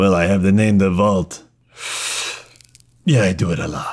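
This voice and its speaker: A man speaks in a put-on character voice with a fairly low pitch. His pace is moderate and his intonation fairly even. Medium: actual play. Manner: terse, dry.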